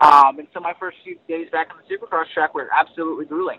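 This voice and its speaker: A man is speaking. His pace is fairly quick. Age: 20s. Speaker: motocross racer. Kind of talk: casual interview. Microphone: dropping line, sounded robotic at times.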